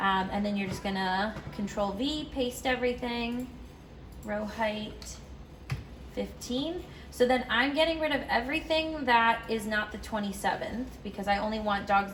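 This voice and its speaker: Audible room echo and noticeable background noise fill the recording. Pitch variation is ordinary, and the pace is moderate. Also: woman. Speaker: dog daycare staff trainer. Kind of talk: tutorial. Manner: casual with fillers.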